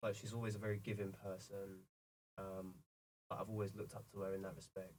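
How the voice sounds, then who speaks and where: A man speaks with a South London accent at a very fast pace. His intonation is monotone and flat. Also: fairly low pitch for a man. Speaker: video production company founder. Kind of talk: casual interview chat. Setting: in person, filmed in Portsmouth.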